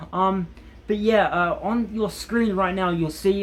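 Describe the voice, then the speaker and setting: A man mumbles at a fairly slow pace in an Australian accent. His intonation stays fairly even. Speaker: gaming YouTuber. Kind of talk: casual vlog talk to camera. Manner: hesitant, many ums and repetitions; mumbling.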